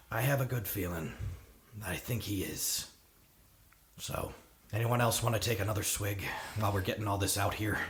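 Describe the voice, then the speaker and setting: Using a raspy, put-on character voice with a fairly low pitch, a man speaks at a moderate pace and leaves long, frequent pauses. Audible echo surrounds his voice. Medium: actual play. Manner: casual, folksy, prone to sighs.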